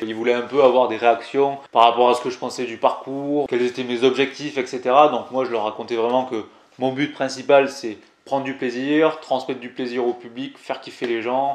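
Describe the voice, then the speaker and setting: A man with a Toulouse accent talks at a fairly quick pace. His medium-pitched voice keeps fairly even intonation. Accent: southern French (Toulouse). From Toulouse, southern France. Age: 20s. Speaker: climbing youtuber. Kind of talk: casual vlog storytelling. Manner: casual, hesitant with many fillers.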